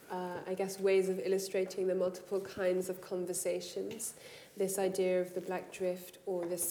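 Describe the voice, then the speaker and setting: A woman speaks with monotone, flat intonation. There is noticeable background noise. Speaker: writer, artist and facilitator. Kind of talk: workshop talk and poetry reading.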